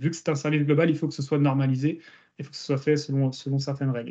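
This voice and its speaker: Against a quiet background, a man speaks with a dark, mellow tone, fairly high pitch and fairly even intonation. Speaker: search engineer presenting a case study; guest. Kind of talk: technical presentation. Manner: fast. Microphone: video call.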